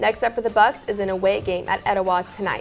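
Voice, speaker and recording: At a fairly quick pace, a woman speaks with faint music in the background. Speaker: student news anchor. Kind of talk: news report. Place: studio. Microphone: lapel.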